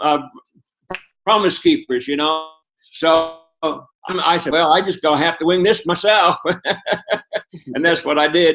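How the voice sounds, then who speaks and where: Pausing long and often, a man speaks at a high pitch. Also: moderate pace. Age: 70s. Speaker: network marketing distributor giving testimony. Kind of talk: testimony. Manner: animated. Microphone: internet connection froze.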